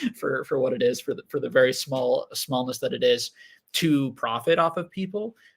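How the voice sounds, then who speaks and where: The man mumbles at a moderate pace. His pitch is fairly high. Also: lively intonation. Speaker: Pokemon card investing YouTuber. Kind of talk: livestream Q&A chat. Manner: halting, many repeated words; mumbling.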